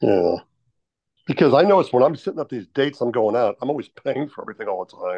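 The delivery is at a very fast pace with vocal fry, very wide pitch swings, and big swings in loudness. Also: man, fairly high pitch for a man. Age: 60s. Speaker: meetup participant seeking dating advice. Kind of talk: casual chat. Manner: halting.

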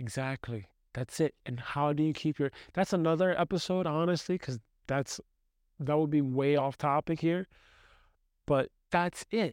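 On a very clean recording with a silent background and a dry, close sound with no echo, a man speaks at a fairly high pitch and moderate pace, with ordinary pitch variation and long, frequent pauses. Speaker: podcast co-host. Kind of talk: casual conversational podcast. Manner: uses many filler words.

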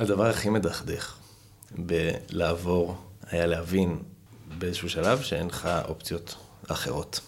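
Speaking at a fairly slow pace, a man with a very deep, low pitch keeps his intonation fairly even and leaves long, frequent pauses. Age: 30s. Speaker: history graduate student. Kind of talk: casual chat.

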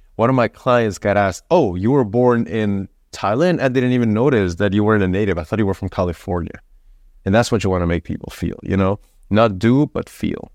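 Speaking with a Spanish accent, a man with a fairly low pitch moves at a fairly quick pace with ordinary pitch variation. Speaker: content marketing consultant. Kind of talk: casual chat. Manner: casual, filler-heavy.

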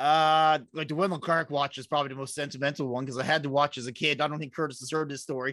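A man with a Newfoundland accent talks very fast, with hardly any pauses, over a quiet background. His fairly high voice is bright and sharp, and his intonation is flat and monotone. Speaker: podcast co-host. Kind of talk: casual chat.

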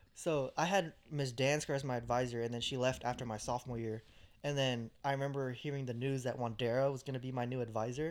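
An unremarkable speaking voice from a man with an American accent, medium in pitch, fairly quick and fairly even in intonation. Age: 20s. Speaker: podcast co-host. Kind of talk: casual chat.

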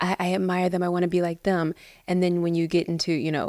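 A woman with a strong Midwestern US accent speaks in an animated tone at a fairly quick pace. Her pitch is fairly low, and the recording is very clean with a silent background. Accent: American Midwestern, fairly thick. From US Midwest, Cincinnati, Ohio. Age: 30s. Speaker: actress and business founder. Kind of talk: casual interview chat. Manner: animated, laughs often.

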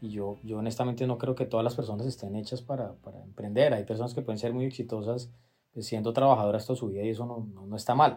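A man talks at a very fast pace with a medium pitch and monotone, flat intonation. His voice is somewhat breathy with a dark, mellow tone. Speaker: law firm partner and podcast host. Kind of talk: interview conversation. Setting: at guest's home. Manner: halting, with repeated words and fillers.

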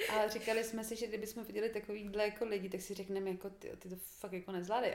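Over noticeable background noise, a woman talks at a very fast pace with a fairly high pitch and a monotone, flat intonation. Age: 20s. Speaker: podcast guest, host's sister. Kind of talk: casual chat.

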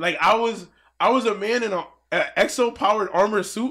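On a very clean recording with a silent background, a raised, projected voice goes along at a fairly quick pace. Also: man. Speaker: fighting game commentator. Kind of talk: casual chat. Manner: loud.

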